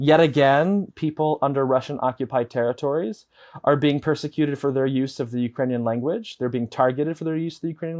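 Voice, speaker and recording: This man talks very fast. The pitch shifts about as much as usual. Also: hardly any pauses. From Chicago, US Midwest. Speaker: advocacy director and former radio journalist. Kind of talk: interview. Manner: frequent fillers and restarts.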